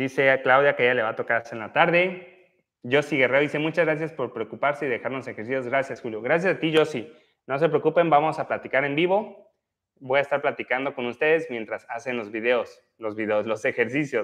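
A man with a fairly high pitch and ordinary pitch variation, at a fairly quick pace against a quiet background. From Mexico, Oaxaca (central valleys). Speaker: physiotherapist leading exercise livestreams; physiotherapist streamer. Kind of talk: live exercise class with chat reading. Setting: livestream. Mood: warm, grateful. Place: gym. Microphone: lapel.

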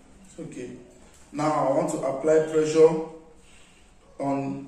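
A man speaks in a flat monotone. Audible echo fills the room. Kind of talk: explaining while treating a client. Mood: calm, reassuring. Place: home room. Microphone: camera far.

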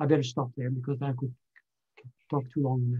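Against a quiet background, a man speaks in a somewhat breathy voice with a dark, mellow tone. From Canada. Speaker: scientist and consultant; invited lecturer. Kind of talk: lecture. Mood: earnest, critical. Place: home room. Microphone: webcam.

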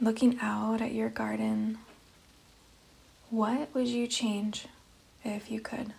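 Over noticeable background noise, a woman speaks at a very slow pace in a calm, soothing tone, with long, frequent pauses. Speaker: meditation guide. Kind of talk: guided meditation. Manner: slow, calm, soothing.

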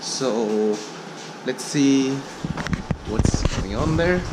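A very slow male voice with ordinary pitch variation over loud background noise. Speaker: travel vlogger. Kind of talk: casual vlog chat. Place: station. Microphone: phone near.

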